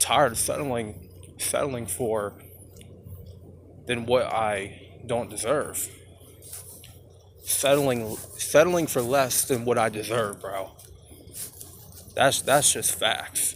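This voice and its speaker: Room echo is audible as a man speaks at a very slow pace with long, frequent pauses. His pitch is medium, with ordinary variation. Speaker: vlogger. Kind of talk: casual vlog monologue. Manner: halting.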